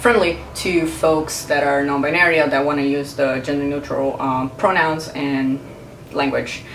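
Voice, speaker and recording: A woman's very deep, low voice in a Portuguese accent at a fairly slow pace, with noticeable background noise and audible room echo. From Brazil. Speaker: video blogger. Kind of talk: casual vlog commentary. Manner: hesitant, many fillers.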